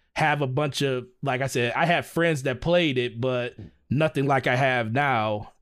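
A plain, everyday voice from a man with an American accent, medium in pitch, fairly slow, with fairly even intonation and very even loudness, on a very clean recording with a silent background. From US Midwest. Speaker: gaming content creator. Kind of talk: casual chat.

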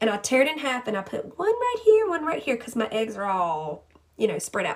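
A woman's high voice over noticeable background noise. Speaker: podcast host and health coach. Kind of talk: casual, chatty, encouraging. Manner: fast talker.

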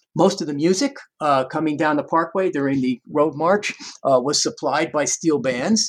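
A man with a fairly high voice talks at a moderate tempo, his pitch moving in an ordinary way. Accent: New York. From US Northeast, Long Island, New York. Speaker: music professor. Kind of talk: interview. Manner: halting.

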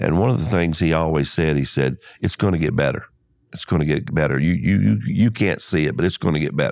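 With an Alabama accent, a man talks very fast in a very deep, low voice with vocal fry and ordinary pitch variation. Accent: Southern US (Alabama). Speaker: insurance agency owner. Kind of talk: interview. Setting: studio.

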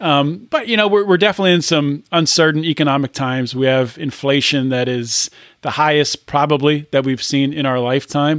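A plain, everyday voice speaks at a fairly quick pace with ordinary pitch variation, captured in a very clean recording against a silent background. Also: man, fairly high pitch for a man. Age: 30s. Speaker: podcast host. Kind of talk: interview.

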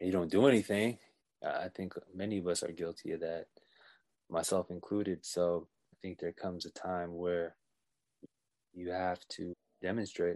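Very deep and low, a man's voice comes in a flat monotone with an American accent at a moderate pace, broken by long, frequent pauses, the sound dry and close with no echo. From California (Bay Area and Oxnard). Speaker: podcast guest, friend of host. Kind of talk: casual chat.

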